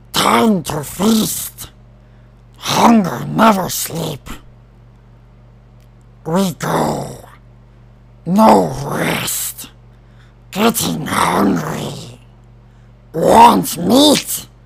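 Man in a put-on character voice, fairly high pitch, very slow pace, long, frequent pauses. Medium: voice reel. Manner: broken, clipped phrases.

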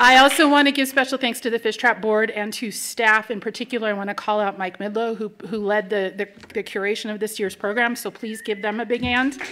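A woman's fairly high, bright and sharp voice at a fairly quick pace, hardly any pauses, fairly even intonation, light background noise. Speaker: nonprofit executive director, event host. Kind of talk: welcome and introduction to live event. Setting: stage with audience. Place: hall. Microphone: podium.

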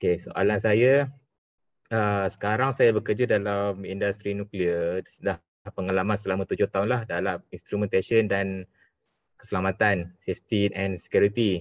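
A man uses an ordinary speaking voice at a fairly low pitch, with fairly even intonation and a fairly slow pace. The sound is dry with no echo, over a quiet background. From Malaysia. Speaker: engineer, webinar participant. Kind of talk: audience question. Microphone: video call.

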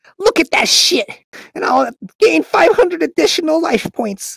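Music plays in the background. The speaker uses a put-on character voice at a fairly slow pace. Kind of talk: comic overacting. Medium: machinima. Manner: excitable, shouty, boastful.

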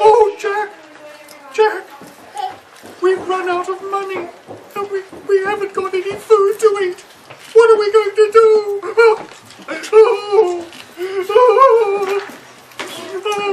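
At an extremely high pitch, a man does a cartoonish character voice with monotone, flat intonation, a fairly slow pace and long, frequent pauses. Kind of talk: children's puppet show performance. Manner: tearful, fretful.

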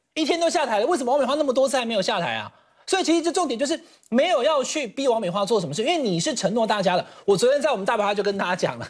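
A man's extremely high pitch with very wide pitch swings at a very fast pace, over a quiet background. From Taiwan. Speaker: political commentator. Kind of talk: TV panel debate. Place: studio. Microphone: lapel.

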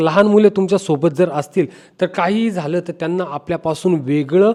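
A man speaks in a high voice with a dark, mellow tone. His pitch varies in an ordinary way. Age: 40s. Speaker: travel vlogger. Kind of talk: tutorial.

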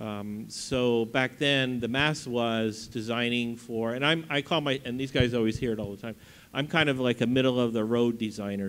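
With an unremarkable speaking voice, a man talks at a moderate pace and medium pitch, keeping his intonation fairly even. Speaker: pinball designer; panelist. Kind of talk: convention panel talk. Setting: stage with audience. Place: hall. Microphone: handheld.

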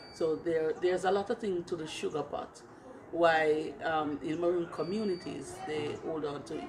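A woman's fairly low voice in a Jamaican accent, at a moderate pace with fairly even intonation, over noticeable background noise. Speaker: Maroon community leader and tour guide. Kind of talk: interview explaining cultural heritage. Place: garden.

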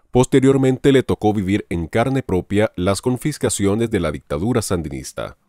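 Here a man with a fairly low pitch and a dark, mellow tone speaks at a moderate pace with lively intonation. The sound is dry and close with no echo.

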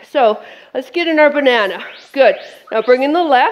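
A woman's fairly slow delivery with very wide pitch swings. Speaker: fitness instructor. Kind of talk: workout class instruction. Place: studio.

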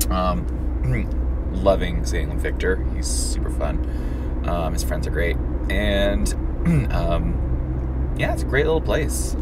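Loud background noise surrounds the voice. A man speaks at a very slow pace. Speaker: driver vlogger. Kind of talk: casual vlog chat. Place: car. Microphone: phone near.

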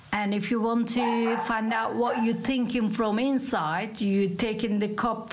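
A woman's fairly high pitch at a fairly slow pace, with audible room echo and noticeable background noise. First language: Turkish. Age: 50s. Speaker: coffee cup reader, tourism worker. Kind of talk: casual interview.

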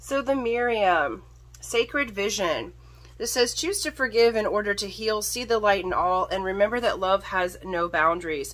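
Ordinary pitch variation accompanies speech delivered at a moderate pace. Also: woman. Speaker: tarot reader / psychic. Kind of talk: tarot reading monologue. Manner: loud; hesitant, many fillers. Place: home room. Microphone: phone near.

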